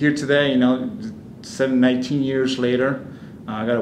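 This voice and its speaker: Over noticeable background noise and audible room echo, a man with an Argentine accent talks at a fairly quick pace, his medium pitch held in a monotone, flat intonation. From Argentina. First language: Spanish. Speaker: immigrant interviewee. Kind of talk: personal testimony interview. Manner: halting, many fillers and restarts.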